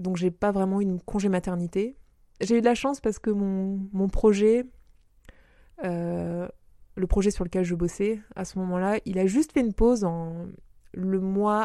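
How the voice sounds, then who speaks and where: A woman talks at medium pitch with a dark, mellow tone. Her intonation stays fairly even. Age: 30s. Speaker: freelance worker and mother. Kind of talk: interview. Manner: halting.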